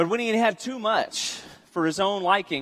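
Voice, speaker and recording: A man talks here. Behind him, the background stays quiet. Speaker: preacher. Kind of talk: sermon. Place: church.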